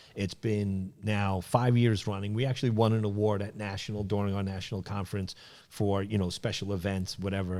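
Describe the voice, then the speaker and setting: With a New York accent, a man speaks at a fairly low pitch in a dark, mellow tone. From New York City (Brooklyn and Queens). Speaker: sales manager and trade association president. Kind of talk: podcast interview. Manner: casual, many fillers and repetitions.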